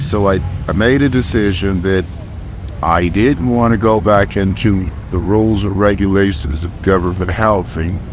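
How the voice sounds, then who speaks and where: A man with an American accent and fairly low pitch at a moderate pace, amid audible room echo and noticeable background noise. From Los Angeles (South LA, Westchester). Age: 60s. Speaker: street vendor. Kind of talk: street interview.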